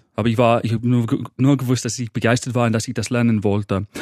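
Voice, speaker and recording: A man with an English accent speaks at a medium pitch in a monotone, flat intonation. The sound is dry and close with no echo, over a quiet background. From northern England, Manchester. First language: English (speaking German). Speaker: motivational coach. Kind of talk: podcast interview. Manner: halting, repeats words.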